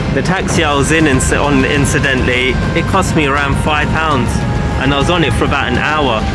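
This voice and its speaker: A man talks at a moderate pace with music in the background. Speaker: travel vlogger. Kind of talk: casual vlog chat. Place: boat. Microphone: phone near.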